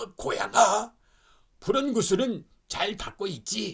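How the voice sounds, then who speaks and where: This man adopts a put-on character voice with a high pitch. His delivery is fairly slow. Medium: read story.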